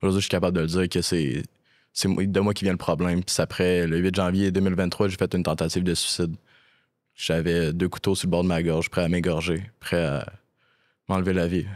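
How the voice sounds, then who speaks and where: Very deep and low, a man's voice moves at a moderate pace in a monotone, flat delivery with very even loudness. Long, frequent pauses break up his speech against a quiet background. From Quebec. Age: 20s. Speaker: actor and casting director in addiction recovery. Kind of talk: personal testimony in casual interview. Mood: serious, reflective, personal story. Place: studio. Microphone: studio mic.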